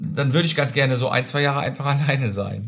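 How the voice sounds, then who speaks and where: Pitched in the medium range, this man sounds somewhat breathy. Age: 50s. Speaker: social insurance clerk. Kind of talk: casual chat.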